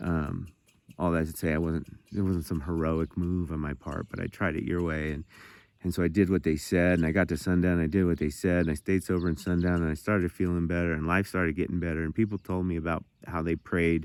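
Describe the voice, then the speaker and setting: A man talks at a fairly quick pace in a monotone with flat intonation. His pitch is very deep and low, and the recording is very clean with a silent background. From Montana. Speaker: recovering addict sharing testimony. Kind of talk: testimony. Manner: fast; halting, repeating words.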